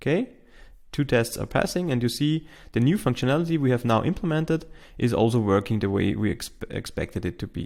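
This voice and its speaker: A man with a non-native accent speaks at medium pitch and a fairly quick pace, his intonation lively. The recording is very clean with a silent background. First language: not English. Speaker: tech tutorial host. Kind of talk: tutorial. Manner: halting, with fillers.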